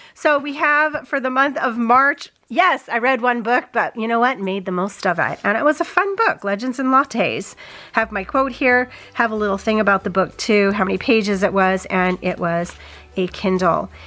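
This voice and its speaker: A woman with a fairly high pitch and lively intonation speaks at a moderate pace over noticeable background noise. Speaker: reading journal youtuber. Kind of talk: casual craft vlog narration. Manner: chatty, thinking aloud.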